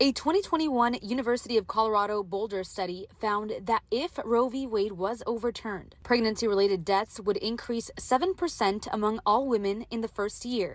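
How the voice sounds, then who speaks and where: In an ordinary speaking voice, a woman talks at a fairly quick pace with hardly any pauses, a fairly high pitch and ordinary pitch variation. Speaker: bilingual TV reporter. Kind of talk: English TV news reporter delivery.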